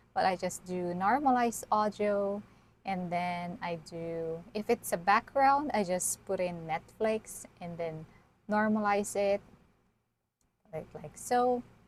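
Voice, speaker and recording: Soft-spoken and very slow, a woman talks at medium pitch with ordinary pitch variation. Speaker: YouTuber teaching video creation. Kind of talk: tutorial. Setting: live stream with screen share. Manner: unscripted, halting.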